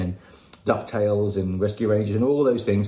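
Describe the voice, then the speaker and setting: The speaker has an English accent and ordinary pitch variation. Noticeable background noise is present. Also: man. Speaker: listener. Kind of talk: recorded voice message. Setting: recorded audio message. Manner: casual.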